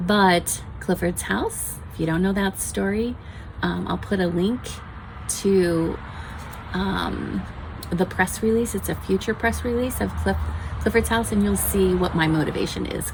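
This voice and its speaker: A fairly slow pace with long, frequent pauses, over noticeable background noise. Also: woman. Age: 60s. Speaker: homesteading channel host. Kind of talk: casual chat, book review. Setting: outdoors on a patio.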